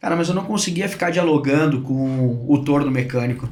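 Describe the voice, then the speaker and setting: A man speaks with ordinary pitch variation, his voice carrying audible room echo over noticeable background noise. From southern Brazil, Rio Grande do Sul (Porto Alegre). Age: 40s. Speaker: sales director. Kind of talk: podcast interview. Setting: studio. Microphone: too far from the mic at first.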